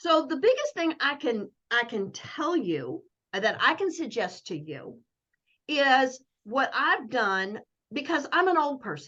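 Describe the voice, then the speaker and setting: A woman's raised, projected voice, high and bright, sharp in tone, with very wide pitch swings at a fairly slow pace. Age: 60s. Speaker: network marketing coach. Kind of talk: casual chat. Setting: video call.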